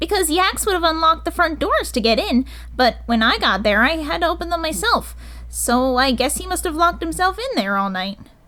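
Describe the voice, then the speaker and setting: A female-sounding, put-on character voice pitched high for a woman. It moves at a fairly quick pace over light background noise. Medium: read story. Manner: soft, demure.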